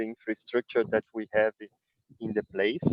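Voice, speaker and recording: A man talks with a Brazilian Portuguese accent. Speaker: winery owner. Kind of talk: presentation. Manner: halting.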